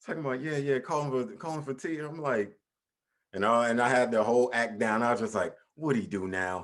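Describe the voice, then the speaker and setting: Here is a man with an unremarkable speaking voice at medium pitch. He talks at a fairly quick pace with lively intonation. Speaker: podcast host. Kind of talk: casual chat.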